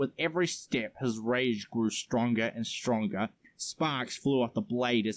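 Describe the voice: Fairly even intonation carries this plain reading aloud.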